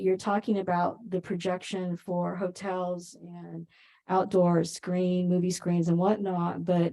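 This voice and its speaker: Soft-spoken and dark, mellow in tone, a woman speaks at a fairly slow pace. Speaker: planning commissioner. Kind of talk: public meeting discussion. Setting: council chambers, hybrid meeting.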